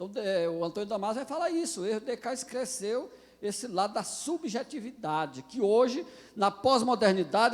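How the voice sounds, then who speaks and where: A man's high-pitched voice with lively intonation. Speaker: pastor. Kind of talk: lecture. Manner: halting.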